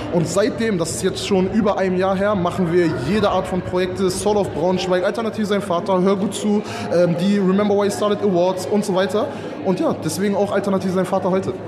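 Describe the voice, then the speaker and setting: A high-pitched man's very fast, flat monotone, with noticeable background noise and audible room echo. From Lower Saxony, Germany (Salzgitter). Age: 20s. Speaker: event organiser. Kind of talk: interview. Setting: outdoors at a fair.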